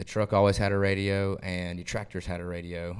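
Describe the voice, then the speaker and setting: Talking at a fairly quick pace, a man with an American accent and a fairly low pitch comes through on a very clean recording with a silent background. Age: 20s. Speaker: country singer. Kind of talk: interview.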